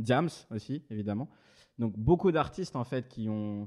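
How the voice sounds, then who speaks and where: Against a quiet background, a man talks at a fairly slow pace with fairly low pitch. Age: 20s. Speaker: journalist and interviewer. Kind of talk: casual interview chat. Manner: hesitant, many repetitions.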